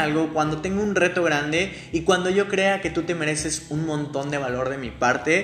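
Audible room echo and noticeable background noise around a man's high voice at a moderate pace. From Mexico City. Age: 20s. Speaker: podcast host, digital marketer. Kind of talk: solo podcast monologue. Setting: home. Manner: animated.

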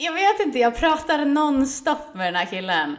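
Her pitch moves in very wide swings. The woman speaks at a moderate speed. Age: 30s. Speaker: podcast co-host. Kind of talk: casual chat.

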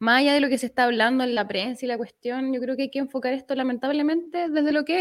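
A woman's high voice in a Chilean accent at a very fast pace. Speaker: lawyer. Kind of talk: casual chat.

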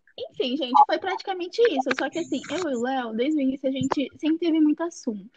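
Recorded dry and close with no echo, a woman talks at a very fast pace and a high pitch, with lively intonation and hardly any pauses. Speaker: podcast host. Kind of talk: casual chat. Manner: animated.

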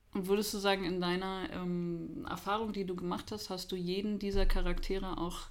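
A woman talks at a moderate pace with fairly even intonation. Audible room echo surrounds her voice. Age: 30s. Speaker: podcast host. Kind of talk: casual chat.

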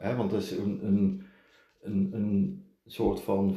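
A man with a dark, mellow, somewhat breathy voice speaks at a fairly low pitch and a fairly slow pace, with audible room echo. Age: 50s. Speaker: podcast host's partner, businessman. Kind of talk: casual chat. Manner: halting, frequent repetitions.

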